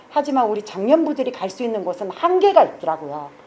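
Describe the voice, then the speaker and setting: Over noticeable background noise, a woman talks fairly quickly in an animated tone, her high pitch making very wide swings. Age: 60s. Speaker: shop owner and guitar club organizer. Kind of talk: project pitch presentation.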